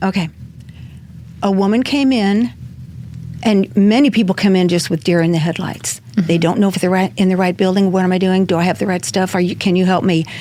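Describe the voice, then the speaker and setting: Noticeable background noise beneath fairly fast talk with ordinary variation in pitch. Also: woman, medium pitch for a woman, very even loudness. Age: 70s. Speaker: food pantry volunteer. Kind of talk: interview answer. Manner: lively.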